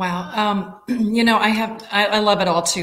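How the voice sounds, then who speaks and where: The speech carries fairly even intonation. Audible room echo and noticeable background noise fill the recording. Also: woman. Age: 60s. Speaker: nonprofit executive director. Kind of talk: interview.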